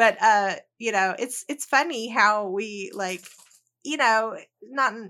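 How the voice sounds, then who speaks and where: A woman with a Southern US accent and a bright, sharp tone uses ordinary pitch variation in a very clean recording with a silent background. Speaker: educator and researcher, author. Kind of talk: casual interview chat. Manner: hesitant, many fillers.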